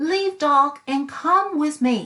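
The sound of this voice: A woman's put-on character voice, high-pitched with ordinary pitch variation, slow and bright, sharp in tone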